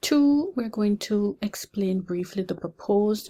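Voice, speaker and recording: Dark and mellow in tone, this somewhat breathy voice moves at a fairly slow pace with lively intonation. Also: woman. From Jamaica. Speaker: pharmacy lecturer. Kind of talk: lecture.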